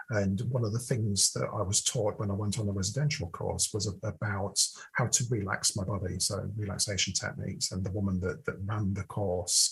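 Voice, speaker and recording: A man with a British accent, fairly low pitch, somewhat breathy delivery, ordinary pitch variation, and a moderate pace over a quiet background. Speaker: podcast co-host. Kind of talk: casual chat.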